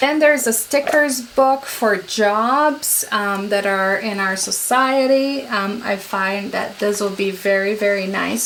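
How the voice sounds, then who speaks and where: Over noticeable background noise, a woman with a non-native accent speaks at a fairly high pitch with ordinary pitch variation. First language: not English. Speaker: homeschooling parent vlogger. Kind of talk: product haul review. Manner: casual, many fillers.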